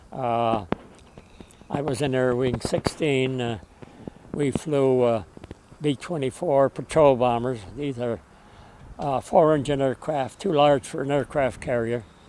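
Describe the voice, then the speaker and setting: Over noticeable background noise, a man speaks at a fairly slow pace in a medium pitch with ordinary pitch variation and long, frequent pauses. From Connecticut, US. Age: 80s+. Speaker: war veteran. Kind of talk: interview. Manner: halting, many fillers.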